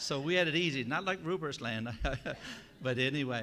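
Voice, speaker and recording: With a Newfoundland accent, a man speaks in a bright, sharp tone and ordinary pitch variation. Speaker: church delegate. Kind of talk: informal speech to assembly.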